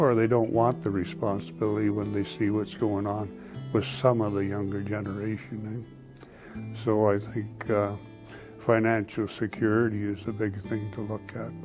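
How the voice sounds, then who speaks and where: Music plays in the background as a man speaks in a northern Ontario accent. His pitch is fairly low, his intonation fairly even and his pace moderate. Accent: Canadian (northern Ontario). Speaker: retiree. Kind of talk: interview. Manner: halting.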